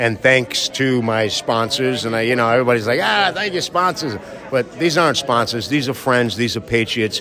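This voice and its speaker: A man speaks at a moderate pace and a medium pitch with ordinary pitch variation. Background noise is noticeable. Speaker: artist. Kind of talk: casual speech at gallery event. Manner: blunt, profane.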